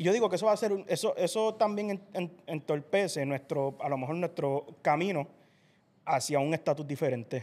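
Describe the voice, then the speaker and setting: This man's voice sits fairly high, with lively intonation. He speaks at a moderate pace. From Puerto Rico. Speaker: podcast host. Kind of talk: casual interview. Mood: calm, thoughtful. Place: studio. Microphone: studio mic.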